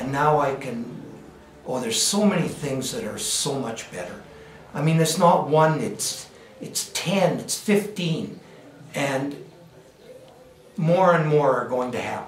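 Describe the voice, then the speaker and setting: A man's fairly high voice in a Canadian accent, with long, frequent pauses, audible room echo and noticeable background noise. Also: lively intonation. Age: 70s. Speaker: patient giving testimonial. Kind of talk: testimony. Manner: halting, many fillers.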